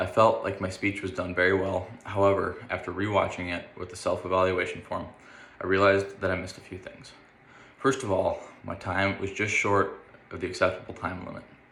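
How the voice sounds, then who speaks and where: A man with an American accent talks at a fairly quick pace in a fairly low, monotone voice with flat intonation, his loudness swinging widely amid audible room echo. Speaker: university student. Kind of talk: self-evaluation monologue.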